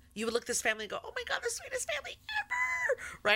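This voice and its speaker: A woman speaks at a very fast pace over noticeable background noise. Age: 50s. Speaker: radio host. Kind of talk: casual chat.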